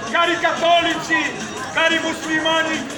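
A man speaks in an extremely high pitch at a fairly slow pace, his intonation monotone and flat. Clear crowd noise and clear music sit in the background.

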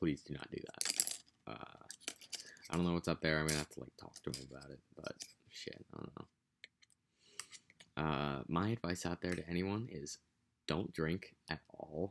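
With an American accent, a man talks in a very deep, low voice with vocal fry over light background noise. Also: ordinary pitch variation, fairly slow pace, big swings in loudness. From United States. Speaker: vlogger. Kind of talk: casual vlog monologue. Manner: casual, rambling, profane. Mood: amused, joking. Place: home room. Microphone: webcam.

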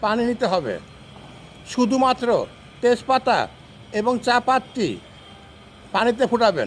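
This man's voice is extremely high-pitched, with fairly even intonation. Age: 60s. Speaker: health tips vlogger. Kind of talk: tutorial.

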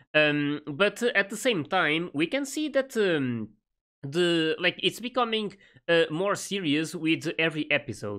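Against a quiet background, a man with a bright, sharp tone talks at a fairly slow pace, his pitch swinging very widely. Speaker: anime reaction youtuber. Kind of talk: casual commentary. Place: home room. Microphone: studio mic.

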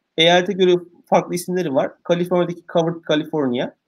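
A man with a high pitch at a fairly quick pace, over a quiet background. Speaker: guest. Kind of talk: interview answer. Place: office. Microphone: video call.

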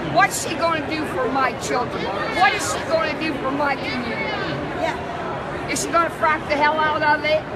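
A woman at a moderate pace over loud background noise. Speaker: convention delegate. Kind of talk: impassioned interview answer. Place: hall. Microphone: phone near.

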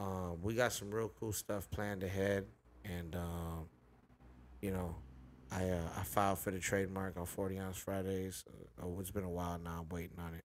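Over light background noise, a man with an American accent speaks at a moderate pace in a very deep, low pitch and a monotone, flat intonation. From Inland Empire, Southern California; Southern California. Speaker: rapper; podcast host or guest. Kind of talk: casual chat. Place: home room. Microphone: studio mic.

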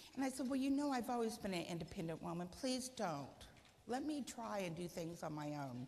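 Somewhat breathy, a woman talks at a fairly quick pace in a medium pitch with very wide pitch swings over light background noise. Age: 60s. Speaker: guide dog user; guest. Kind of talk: speech. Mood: warm, reflective. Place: hall.

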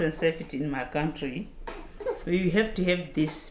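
Over noticeable background noise, a woman speaks at a fairly low pitch with ordinary pitch variation. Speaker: refugee; mother. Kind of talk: casual talk to camera. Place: home room. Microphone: lapel.

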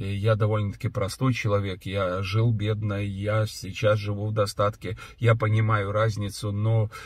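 Over a quiet background, a man with a somewhat breathy, fairly low voice talks at a fairly slow pace, the sound dry with no echo. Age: 60s. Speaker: pastor and businessman; pastor. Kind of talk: video blog monologue answering viewer questions. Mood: earnest, reflective. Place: car. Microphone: phone near.

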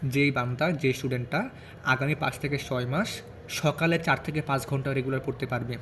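A man's medium-pitched, unremarkable speaking voice with fairly even intonation. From Bangladesh, Gazipur. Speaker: medical student and study advice YouTuber. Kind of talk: advice talk to students. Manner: casual, with pauses.

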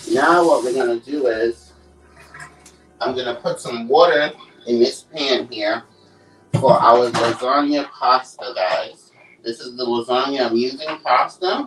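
A man at a fairly slow pace with fairly even intonation and long, frequent pauses, clear music in the background. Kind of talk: cooking tutorial. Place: kitchen. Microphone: phone near.

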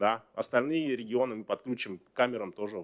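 A man talks at a fairly quick pace, his pitch varying in an ordinary way. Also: quiet background. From Kazakhstan. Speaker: government minister. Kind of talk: press briefing answers. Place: hall. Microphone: podium.

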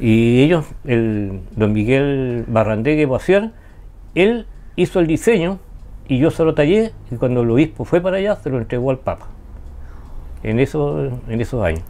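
Fairly slow speech from a man, dark and mellow in tone, with very wide pitch swings and long, frequent pauses. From Chile, Ancud (Chiloé); Chile. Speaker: wood carver and artist. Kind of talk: interview. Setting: his studio. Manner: halting. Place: home room. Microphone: lapel.

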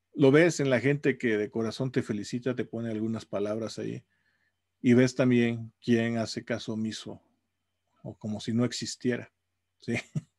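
Speaking at a moderate pace with long, frequent pauses and fairly even intonation, a man is heard on a dry recording with no echo and a quiet background. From Mexico. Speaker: university professor. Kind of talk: casual video blog monologue. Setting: home office. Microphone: webcam.

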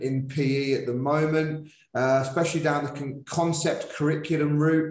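Audible room echo surrounds a man speaking at a fairly slow pace. His pitch is fairly high. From northern England. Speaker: podcast host, PE teacher. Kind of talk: interview. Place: home room. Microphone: video call.

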